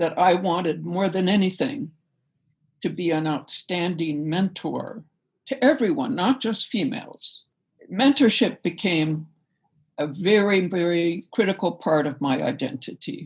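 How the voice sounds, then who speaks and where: The somewhat breathy voice moves at a fairly slow pace with very wide pitch swings. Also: woman, medium pitch for a woman, very clean recording, silent background. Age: 70s. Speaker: professor emerita of communication. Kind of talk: interview.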